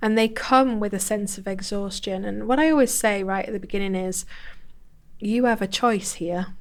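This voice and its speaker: Speaking at a moderate pace, a woman with a northern English accent has a medium pitch. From northern England, Bolton. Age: 40s. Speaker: personal growth coach. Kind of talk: podcast interview.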